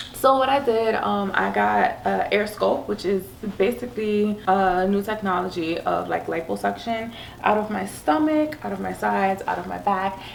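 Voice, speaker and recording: A woman's moderately paced speech carries audible room echo and noticeable background noise. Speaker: family vlogger. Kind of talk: casual chat.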